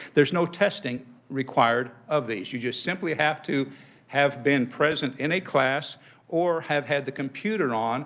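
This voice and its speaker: With an American accent and lively intonation, the speaker has an unremarkable speaking voice. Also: man. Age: 60s. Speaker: insurance agent. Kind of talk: legislative testimony.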